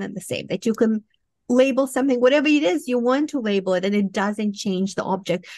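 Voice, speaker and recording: Over a quiet background, a woman with a Romanian accent speaks at a fairly high pitch with ordinary pitch variation and a dry sound with no echo. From Moldova. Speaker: professor and cognitive scientist. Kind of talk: interview. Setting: remote video call. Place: home room. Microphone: studio mic.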